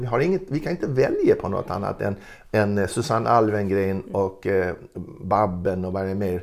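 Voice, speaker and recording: At a moderate pace, a man speaks with lively intonation. His pitch sits in the medium range. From Gotland, Sweden. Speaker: retired ethnology professor. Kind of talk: interview. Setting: at home. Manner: halting.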